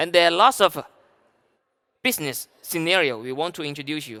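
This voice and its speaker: A man with a Chinese accent speaks at a moderate pace in a high, bright, sharp tone. The recording is very clean, with a silent background. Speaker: sales director. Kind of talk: conference talk. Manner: halting.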